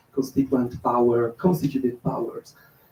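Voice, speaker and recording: A man speaks at a medium pitch with a somewhat breathy quality. His tone is dark and mellow. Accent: non-native. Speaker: audience member asking question. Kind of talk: audience question. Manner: halting.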